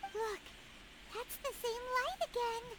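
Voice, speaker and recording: An extremely high, squeaky put-on character voice amid noticeable background noise. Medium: video game. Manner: casual, friendly.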